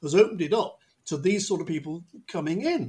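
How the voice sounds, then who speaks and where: This is a man talking. He has a Manchester accent. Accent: northern English (Mancunian). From northern England, Manchester. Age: 70s. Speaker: football podcast host, author. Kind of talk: casual chat.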